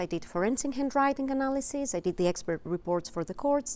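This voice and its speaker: Very wide pitch swings fill this woman's speech. She talks in a Greek accent. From Greece. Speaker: presenter. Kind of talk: presentation.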